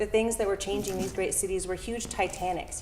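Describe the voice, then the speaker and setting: A soft-spoken voice with an American accent comes through noticeable background noise and audible room echo. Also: woman. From Southern California (San Diego area). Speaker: town hall speaker, arts organization staff. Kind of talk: personal story at public talk. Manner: halting, many fillers.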